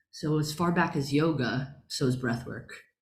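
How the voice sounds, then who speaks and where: In a room with audible echo, a woman with an American accent speaks at a moderate pace in a very deep, low voice. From Long Island, New York. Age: 40s. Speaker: spiritual healer and meditation teacher. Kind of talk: online workshop talk. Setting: video call.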